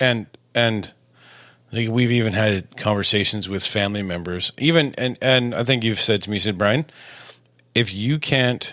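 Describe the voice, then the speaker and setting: Loud and at a fairly quick pace, a man with a fairly low pitch and a bright, sharp tone talks with ordinary pitch variation. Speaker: married podcast co-host. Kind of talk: casual chat.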